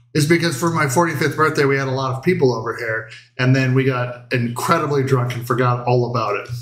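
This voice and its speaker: Audible room echo surrounds a man who talks at a very fast pace with fairly even intonation. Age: 40s. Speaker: cooking show host. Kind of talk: casual chat. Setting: home livestream. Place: kitchen. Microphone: camera far.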